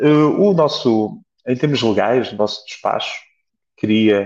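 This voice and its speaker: A man speaks with fairly even intonation. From Portugal, Beira Alta. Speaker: flight nurse. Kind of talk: interview. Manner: halting, many repetitions.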